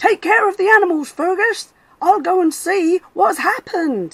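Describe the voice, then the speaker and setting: A woman puts on a squeaky character voice at an extremely high pitch, raised and projected. She speaks at a moderate pace in a dry, close sound with no echo. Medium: read story.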